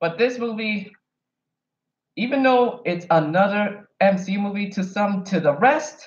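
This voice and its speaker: With an American accent, this man speaks at a fairly slow pace in a high pitch with ordinary pitch variation. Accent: sounds American rather than Kenyan. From Kenya. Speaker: YouTuber, film reviewer. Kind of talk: casual vlog commentary. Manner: animated.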